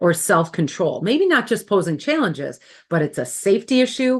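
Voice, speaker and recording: In a Wisconsin accent, a woman speaks at a medium pitch and a moderate pace. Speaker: former school administrator and workshop facilitator. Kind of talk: webinar presentation.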